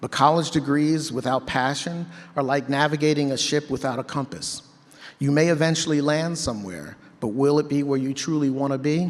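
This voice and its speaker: Fairly high in pitch, this man has an ordinary speaking voice, fairly even intonation and a fairly quick pace. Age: 50s. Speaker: keynote speaker. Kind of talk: motivational speech. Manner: conversational storytelling.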